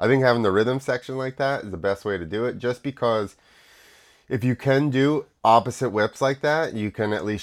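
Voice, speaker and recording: A man speaking at a moderate pace. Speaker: podcaster reacting to motocross videos. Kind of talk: live sports commentary, reacting to a video. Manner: animated, excitable, spontaneous play-by-play; casual, filler-heavy, stop-start.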